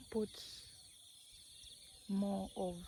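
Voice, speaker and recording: Somewhat breathy, with a dark, mellow tone, a woman talks at a very slow pace in a non-native accent. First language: not English. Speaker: village life vlogger. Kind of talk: casual vlog monologue. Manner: slow, hesitant with fillers.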